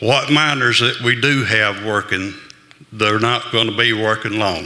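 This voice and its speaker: The man's voice is at medium pitch, with fairly even intonation and very even loudness at a fairly slow pace. Audible room echo and noticeable background noise surround him. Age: 70s. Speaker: audience member, miners' advocate. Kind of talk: public comment.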